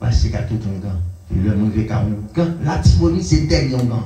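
A man with a Haitian accent at a moderate pace, very wide pitch swings, and audible room echo. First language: Haitian Creole (speaking French). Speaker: pastor. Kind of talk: sermon. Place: church.

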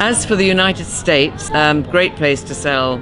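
Clear music plays in the background as a woman speaks at a moderate pace in a very deep, low voice. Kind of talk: interview answer. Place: garden.

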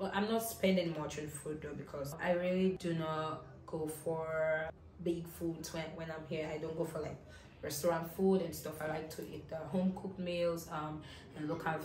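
Delivered at a moderate pace in a monotone, flat intonation, the voice carries audible room echo and light background noise. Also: woman, very deep, low pitch for a woman. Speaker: travel vlogger. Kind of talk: casual vlog chat. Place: home room. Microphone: camera far.

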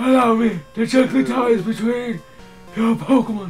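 A man puts on a character voice pitched extremely high for a man. He speaks at a moderate pace while clear music plays in the background.

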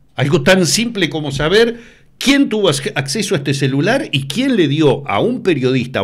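A man speaks with a Uruguayan accent at a moderate pace. His pitch swings very widely. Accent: Uruguayan Spanish (Rioplatense). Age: 60s. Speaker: TV news presenter. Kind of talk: interview. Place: studio. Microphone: studio mic.

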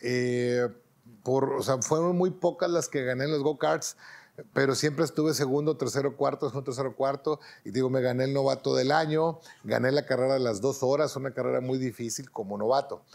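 With a Mexican accent, a man talks at a moderate pace and fairly even intonation against a quiet background. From Mexico. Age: 50s. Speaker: racing driver; interviewee. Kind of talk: interview monologue. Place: home room.

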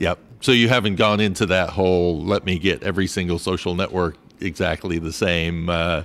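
A man's very deep, low voice, fairly quick, with fairly even intonation. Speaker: travel podcast host. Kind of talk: casual interview. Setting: breakfast nook at a hotel.

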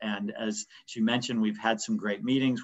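An unremarkable speaking voice from a man, medium in pitch, in an American accent at a fairly quick pace. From Pittsburgh, US. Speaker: business owner. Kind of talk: webinar panel discussion. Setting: video call.

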